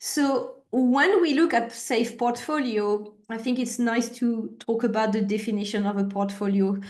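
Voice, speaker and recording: Speaking at a fairly slow pace in a French accent, a woman with a fairly high pitch and ordinary pitch variation hardly pauses, and audible room echo is present. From France. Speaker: agile consultant / trainer. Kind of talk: webinar presentation. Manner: hesitant fillers.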